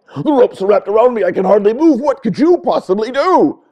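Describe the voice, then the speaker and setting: A man speaks in a put-on character voice at an extremely high pitch. His pace is very fast. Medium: read story.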